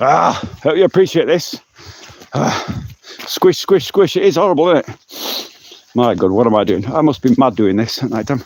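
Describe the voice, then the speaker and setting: Over noticeable background noise, a loud man with an English accent talks at a moderate pace and a fairly high pitch, with very wide pitch swings and long, frequent pauses. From England. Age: 50s. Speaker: vlogger. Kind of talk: live stream walk and talk. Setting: outdoors.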